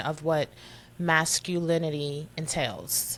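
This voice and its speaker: A woman with a New York accent speaks at a fairly low pitch in a flat, monotone delivery, on a very clean recording with a silent background. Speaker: podcast co-host. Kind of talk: casual chat.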